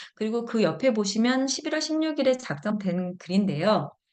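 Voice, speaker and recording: Fairly high female speech at a moderate pace, with very wide swings in pitch. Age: 50s. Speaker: product lecturer, health supplement seller. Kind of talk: product presentation, reading reviews.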